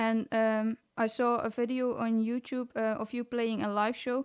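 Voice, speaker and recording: A woman with a non-native accent speaks fairly slowly at a fairly high pitch in a monotone, flat way, the sound dry and close with no echo in a very clean recording with a silent background. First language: not English. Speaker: podcast host. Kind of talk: interview.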